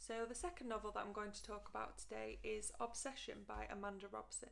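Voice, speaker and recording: At a fairly quick pace, a woman talks in a British accent. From United Kingdom. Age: 20s. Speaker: book vlogger. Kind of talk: casual book review to camera.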